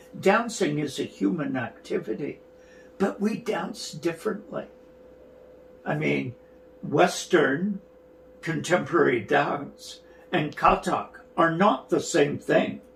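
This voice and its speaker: In a Canadian accent, a man speaks at a very slow pace with long, frequent pauses, a high pitch and very wide pitch swings. Noticeable background noise is present. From Canada, rural Alberta. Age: 60s. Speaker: dance artistic director and choreographer. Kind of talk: interview.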